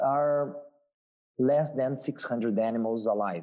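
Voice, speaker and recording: Talking at a very slow pace, a man with a Portuguese accent holds a medium pitch. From southern Brazil. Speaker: marine biologist. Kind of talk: interview. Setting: video call. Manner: halting.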